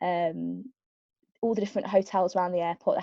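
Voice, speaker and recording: A woman with a Birmingham accent speaks at a medium pitch and a fairly quick pace in a dark, mellow tone, with a dry, close sound with no echo and a quiet background. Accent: Birmingham (Brummie). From Birmingham, England. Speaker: aerospace engineering graduate, panelist. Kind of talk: webinar career talk. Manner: hesitant, many fillers.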